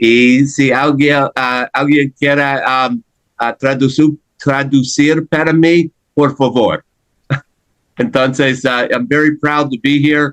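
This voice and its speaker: Fairly high-pitched, a man speaks at a very slow pace with fairly even intonation in a dry, close sound with no echo. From United States. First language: English (speaking Spanish). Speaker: panelist. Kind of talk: panel discussion. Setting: virtual video conference. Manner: halting, many fillers.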